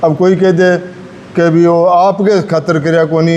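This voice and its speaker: Over noticeable background noise, a man speaks at a high pitch with monotone, flat intonation. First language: Rajasthani (speaking Hindi). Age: 60s. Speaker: journalist and Rajasthani language advocate. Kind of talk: speech to students.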